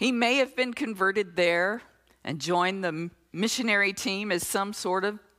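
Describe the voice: Ordinary pitch variation in a plain reading aloud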